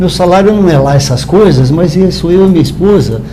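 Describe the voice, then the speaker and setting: With noticeable background noise and audible room echo, a man talks at a moderate pace with ordinary pitch variation. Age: 60s. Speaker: spiritist lecturer. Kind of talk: talk at spiritist meeting. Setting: live-streamed meeting.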